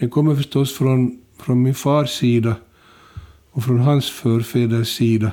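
A man's medium-pitched voice with a dark, mellow tone, fairly even intonation, very even loudness and a fairly slow pace. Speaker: retired journalist and author. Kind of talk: interview.

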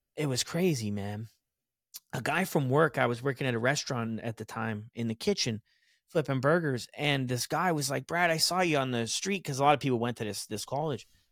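In an animated tone, a man with an American accent talks at a fairly quick pace and a medium pitch with ordinary pitch variation, in a very clean recording with a silent background and a dry, close sound with no echo. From Texas. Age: 30s. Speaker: recovery podcaster. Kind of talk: casual interview, personal story.

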